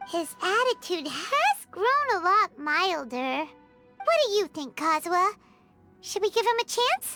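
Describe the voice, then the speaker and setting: A put-on character voice, extremely high in pitch, at a fairly slow pace, with faint music in the background. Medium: video game. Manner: blunt, casual.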